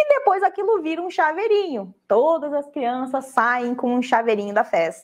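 Speaking at a moderate pace with hardly any pauses, a woman uses a high pitch and very wide pitch swings against a quiet background. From Brazil. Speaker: online crafting instructor. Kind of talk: live stream tutorial talk. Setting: live online broadcast. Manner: animated. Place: office.

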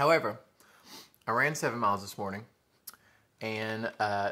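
Against a quiet background, a man with a Southern US accent talks fairly quickly in a bright, sharp tone. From US South. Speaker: food vlogger; mukbang vlogger. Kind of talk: mukbang eating show. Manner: animated. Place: home room. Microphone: phone near.

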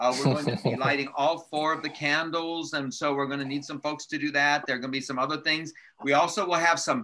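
A man talks with hardly any pauses. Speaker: church leader hosting the meeting. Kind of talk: casual announcements. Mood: upbeat, laughing. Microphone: video call.

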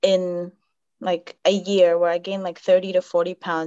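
There is quiet in the background. A woman does the talking. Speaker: podcast guest. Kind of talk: interview answer. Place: home room. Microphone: video call.

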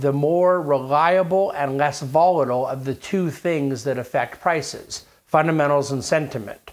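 This man talks at a fairly slow pace, his pitch fairly high.

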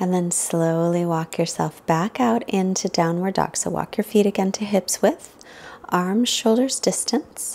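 A woman speaks at a very slow pace with ordinary pitch variation. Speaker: yoga instructor. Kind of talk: guided yoga instruction. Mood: calm, soothing guidance.

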